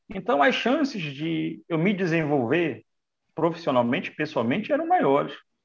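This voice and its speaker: This man has a fairly high pitch with very wide swings, some vocal fry, and a fairly slow pace. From Brazil, Manaus (Amazonas). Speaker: physical education trainer for older adults. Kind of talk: casual interview.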